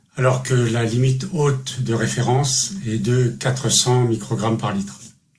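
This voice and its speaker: Over noticeable background noise and audible room echo, a man speaks fairly slowly at a medium pitch with fairly even intonation. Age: 60s. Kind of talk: testimony.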